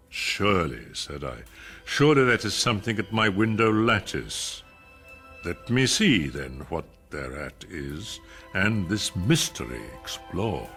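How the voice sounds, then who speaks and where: With music in the background, a man speaks at a fairly slow pace in a theatrical tone, his very deep, low pitch moving in very wide swings. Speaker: actor reciting a poem. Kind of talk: dramatic poetry reading. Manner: slow, theatrical, brooding.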